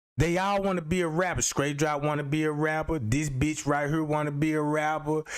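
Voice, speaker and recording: A man speaks at a fairly high pitch and a fairly quick pace. He barely pauses, and his loudness stays very even. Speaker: livestreamer. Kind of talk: live stream commentary. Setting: live stream. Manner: animated.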